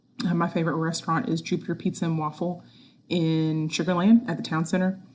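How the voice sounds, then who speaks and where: Soft-spoken and somewhat breathy, a woman talks at a very fast pace in a fairly low pitch with fairly even intonation, against a quiet background. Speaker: school science teacher. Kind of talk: recorded announcement to students. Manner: soft-spoken, quiet; hesitant, many fillers.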